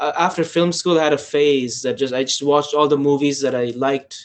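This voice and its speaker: In an Afghan accent, a man talks at a moderate pace with fairly high pitch and fairly even intonation. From Afghanistan. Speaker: filmmaker. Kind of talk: casual chat. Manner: halting.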